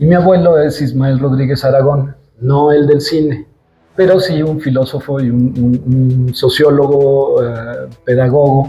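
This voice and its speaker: With music in the background, the speaker goes at a fairly slow pace in fairly even intonation. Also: man, fairly high pitch for a man. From Mexico, Zacatecas and Mexico City. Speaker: sculptor. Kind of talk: interview. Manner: halting, many fillers and repetitions.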